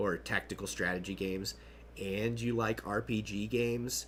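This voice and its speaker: His pitch is fairly low for a man, and he talks fairly slowly. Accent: American. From Kentucky, US. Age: 30s. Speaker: gaming streamer. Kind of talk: casual live-stream chat.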